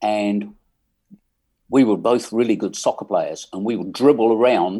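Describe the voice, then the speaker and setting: With an English accent, the speaker has a dark, mellow tone, fairly even intonation and a moderate pace. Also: man, medium pitch for a man. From England. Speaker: musician. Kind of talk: casual chat.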